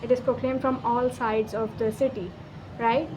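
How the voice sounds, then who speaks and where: A woman with a Pakistani accent speaks at a moderate pace. Her pitch is high. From Pakistan, Karachi. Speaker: vlogger. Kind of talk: casual vlog monologue. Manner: animated.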